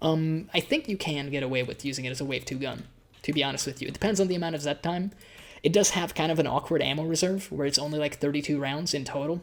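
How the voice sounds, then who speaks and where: The recording is very clean and the background silent. Words pour out at a very fast rate. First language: Hungarian. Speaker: gaming YouTuber. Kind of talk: gameplay commentary. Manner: casual, hesitant with repetitions.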